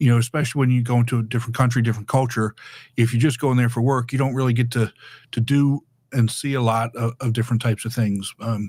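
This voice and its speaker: A man talks at a very fast pace in a somewhat breathy, monotone, flat delivery. The recording is very clean with a silent background. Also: medium pitch for a man. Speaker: public speaking educator. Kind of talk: podcast interview. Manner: halting, many repeated words.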